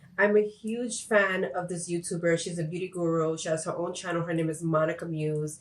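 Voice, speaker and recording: A woman with a fairly low pitch speaks at a fairly quick pace with hardly any pauses. Her intonation is fairly even, and there is noticeable background noise. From Puerto Rico until 7, then raised in mainland US. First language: Spanish. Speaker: YouTuber. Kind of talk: casual vlog talk to camera.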